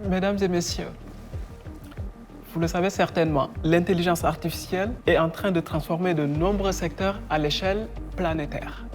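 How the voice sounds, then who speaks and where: A woman's fairly low voice with a slight non-native accent and fairly even intonation, broken by long, frequent pauses over music in the background. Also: moderate pace, very even loudness. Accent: slight foreign accent in French. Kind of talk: formal conference speech. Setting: lecture hall or conference.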